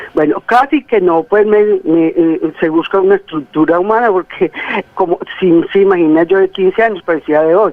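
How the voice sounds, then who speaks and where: Against noticeable background noise, a woman speaks at a medium pitch and a moderate pace. Her loudness stays very even, and her pitch varies in an ordinary way. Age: 60s. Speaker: caller. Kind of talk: testimony. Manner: halting.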